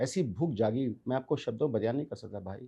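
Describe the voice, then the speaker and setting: Against a quiet background, a man with a dark, mellow tone and a somewhat breathy voice makes very wide pitch swings. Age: 60s. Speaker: businessman. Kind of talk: interview. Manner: animated.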